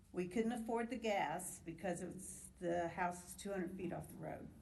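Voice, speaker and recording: With an American accent, a woman talks at a moderate pace and with ordinary pitch variation. Audible room echo and noticeable background noise come through. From US Midwest, Indianapolis area. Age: 70s. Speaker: retired nurse, member of the public. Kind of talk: public hearing testimony. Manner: animated.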